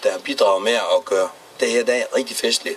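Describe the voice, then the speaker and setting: Over noticeable background noise, a man delivers his words at a moderate pace. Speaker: mayor. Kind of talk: public speech.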